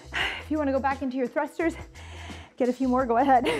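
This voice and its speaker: A woman's voice over faint music in the background. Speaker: fitness instructor. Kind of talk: workout instruction. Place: studio.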